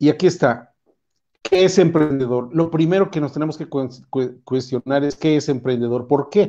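A man with a dark, mellow tone and fairly high pitch speaks at a moderate pace with ordinary pitch variation against a quiet background. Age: 60s. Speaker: entrepreneur, invited speaker. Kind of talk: lecture. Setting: video call. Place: home room. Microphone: earbuds.

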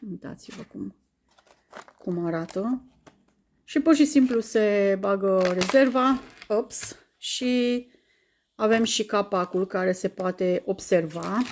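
A woman at a very slow pace, with long, frequent pauses, ordinary pitch variation and light background noise. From Romania. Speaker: YouTuber. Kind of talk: unboxing video. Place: home room. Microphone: phone near.

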